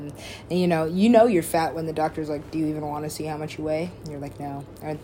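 Recorded with audible room echo, a woman speaks in a very deep, low pitch with fairly even intonation. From Alaska. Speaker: podcaster. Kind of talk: casual monologue. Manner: rambling, fast.

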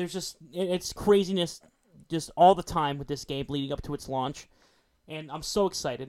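A man speaks at a moderate pace, his fairly high voice moving with ordinary pitch variation. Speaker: podcast co-host. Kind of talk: casual chat.

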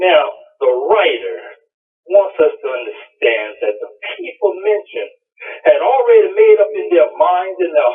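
The speech comes at a fairly slow pace. It carries an American accent. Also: man. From US South, Columbia, South Carolina. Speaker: preacher. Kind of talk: sermon. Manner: halting, frequent repetitions.

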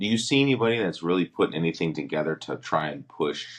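With an American accent, a man talks with lively intonation and vocal fry. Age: 40s. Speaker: podcast co-host and former football player. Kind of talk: casual chat.

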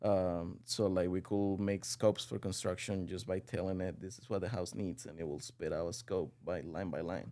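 Speaking with a Spanish accent, a man with a very deep, low pitch and a dark, mellow tone keeps a moderate pace, ordinary pitch variation and hardly any pauses. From Venezuela. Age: 20s. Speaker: real estate executive. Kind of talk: casual interview.

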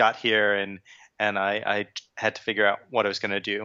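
In a New York accent, a man speaks at a moderate pace with a fairly low pitch. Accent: New York American. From New York, Long Island. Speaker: tech company sales engineer. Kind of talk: interview. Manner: halting, many fillers.

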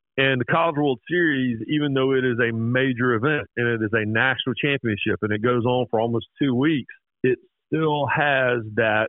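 This is a man with an unremarkable speaking voice. He talks at a moderate pace in a medium pitch with ordinary pitch variation. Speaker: sports journalist. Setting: phone call.

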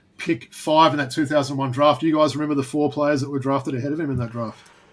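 A man with an Australian accent talks at a very fast pace, his fairly high pitch held in fairly even intonation. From Australia, Perth. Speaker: basketball podcast host. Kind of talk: casual podcast chat.

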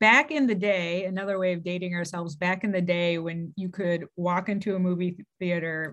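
A woman with an ordinary speaking voice talks at a fairly low pitch and fairly even intonation against a quiet background. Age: 40s. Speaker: childhood friend of the host. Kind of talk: casual chat.

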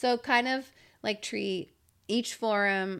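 In a very clean recording with a silent background, a woman uses a normal speaking voice at a medium pitch with ordinary pitch variation. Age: 30s. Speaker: professional mountain biker. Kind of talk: casual chat. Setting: studio.

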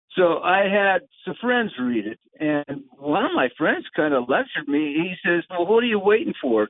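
A man with a high pitch and very wide pitch swings, at a moderate pace. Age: 70s. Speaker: novelist. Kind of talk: interview.

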